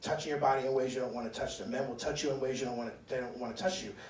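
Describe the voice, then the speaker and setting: A man's medium-pitched voice at a very fast pace, with audible room echo and noticeable background noise. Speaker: panelist and performer. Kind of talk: panel discussion. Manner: loud.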